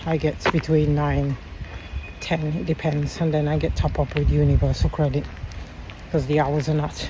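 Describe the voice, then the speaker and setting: With noticeable background noise present, the talking proceeds at a moderate pace. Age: 50s. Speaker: vlogger. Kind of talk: casual chat.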